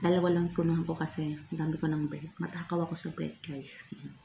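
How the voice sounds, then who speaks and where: A woman speaks at a fairly quick pace in a very deep, low, somewhat breathy voice. Her tone is dark and mellow, and her intonation is flat and monotone. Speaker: food vlogger. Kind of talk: casual vlog chat.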